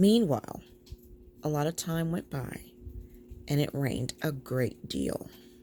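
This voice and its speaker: A soft-spoken woman with a very deep, low pitch, a dark, mellow tone and lively intonation, at a fairly slow pace with long, frequent pauses. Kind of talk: soft-spoken bedtime story reading. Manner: soft-spoken, slow.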